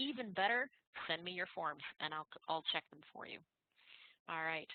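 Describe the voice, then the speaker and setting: A woman's plain, everyday voice, fairly low in pitch, at a moderate pace with lively intonation and big swings in loudness. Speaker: tax instructor. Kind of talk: lecture. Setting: online class.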